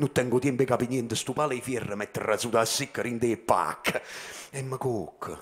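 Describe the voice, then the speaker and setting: A man speaks at a medium pitch. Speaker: slam poet. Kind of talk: slam poetry performance in dialect. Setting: stage performance. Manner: rhythmic, impassioned, emphatic. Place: stage. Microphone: handheld.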